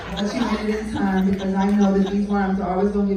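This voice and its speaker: Over crowd noise and audible room echo, a woman with an American accent talks at a very fast pace in a medium pitch. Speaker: spoken word poet and open mic host. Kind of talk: spoken word performance at open mic.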